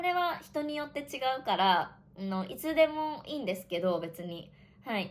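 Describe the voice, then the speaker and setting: Her pitch swinging very widely, a woman speaks at a fairly slow pace. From Japan. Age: 20s. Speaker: online Japanese teacher. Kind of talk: casual podcast talk for Japanese learners. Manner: casual.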